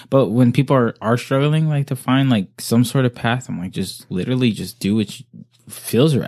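A man with an American accent, a plain, everyday voice at medium pitch, ordinary pitch variation, a moderate pace, and a dry, close sound with no echo. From Oxnard, California, US. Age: 20s. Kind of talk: casual chat. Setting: in person, sitting across from host.

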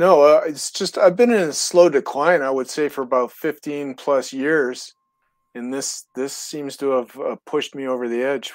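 At a moderate pace, a man speaks in a plain, everyday voice with a fairly high pitch and ordinary pitch variation. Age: 60s. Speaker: caller. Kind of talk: call-in conversation.

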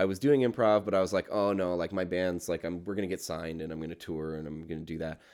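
A man speaks in a very deep, low voice at a very fast pace with hardly any pauses and ordinary pitch variation. The recording is very clean, with a silent background. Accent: Canadian. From Ontario, Canada (Burlington). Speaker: writer, comedian and musician. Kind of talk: casual interview chat.

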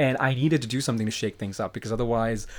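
A man with a plain, everyday voice, medium pitch and ordinary pitch variation, on a very clean recording with a silent background. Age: 30s. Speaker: podcast guest, friend of host. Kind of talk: casual chat.

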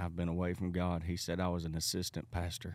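In a Southern US accent, a man speaks with a very deep, low pitch and monotone, flat intonation. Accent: Southern US (Georgia). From US South, South Georgia. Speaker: evangelist. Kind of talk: casual interview chat.

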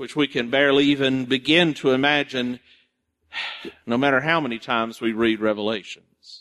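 A medium-pitched man at a moderate pace with fairly even intonation. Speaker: pastor. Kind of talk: sermon. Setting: church. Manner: loud.

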